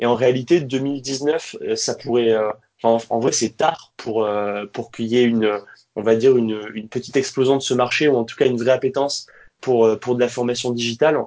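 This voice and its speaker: Here is a plain, everyday voice. A man talks at a moderate pace and medium pitch, with fairly even intonation. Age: 30s. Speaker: training company founder. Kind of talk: interview.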